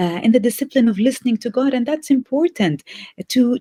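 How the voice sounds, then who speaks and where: With lively intonation, a woman speaks in a dark, mellow, somewhat breathy voice, the sound dry and close with no echo. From Bethlehem, Palestine. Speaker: theology professor. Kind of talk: interview answer.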